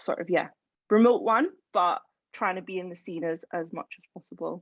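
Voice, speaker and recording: With an Edinburgh accent, a woman speaks at medium pitch and a moderate pace, using ordinary pitch variation. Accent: Scottish (Edinburgh). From Scotland, Edinburgh. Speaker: music industry A&R executive. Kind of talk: panel discussion.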